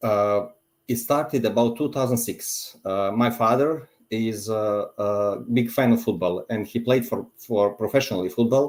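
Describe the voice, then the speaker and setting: The man speaks in a Montenegrin accent with ordinary pitch variation. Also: medium pitch for a man, moderate pace. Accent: Montenegrin accent, noticeable. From Montenegro. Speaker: football fan. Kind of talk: casual chat. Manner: halting.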